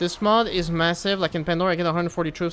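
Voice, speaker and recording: A man talks at a fairly quick pace with fairly even intonation while music plays in the background. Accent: Quebec. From Quebec. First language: French. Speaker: gaming streamer. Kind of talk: casual live stream gameplay chat. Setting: live stream. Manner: casual, hesitant with many fillers.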